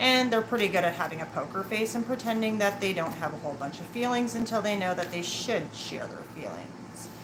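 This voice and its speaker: Mumbled speech at a fairly quick pace with hardly any pauses and ordinary pitch variation, over noticeable background noise. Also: woman, medium pitch for a woman. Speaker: tarot reader. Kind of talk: live tarot reading. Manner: mumbling.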